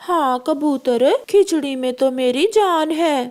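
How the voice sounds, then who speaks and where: A high-pitched, female-sounding cartoonish character voice speaks at a fairly slow pace. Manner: forceful.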